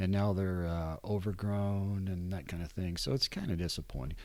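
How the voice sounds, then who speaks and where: This man has an American accent and a fairly low pitch, and he talks at a moderate pace. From West Virginia and moving around the US Midwest. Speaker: newspaper editor. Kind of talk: interview conversation. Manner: hesitant, with repetitions.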